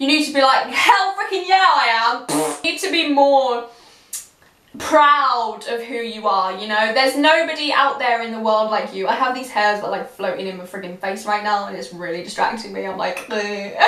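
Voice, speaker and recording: A woman with a fairly high pitch speaks at a moderate pace in an animated tone, her pitch swinging very widely and her loudness rising and falling in big swings. Noticeable background noise and audible room echo surround her. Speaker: YouTuber. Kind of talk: casual vlog talk to camera.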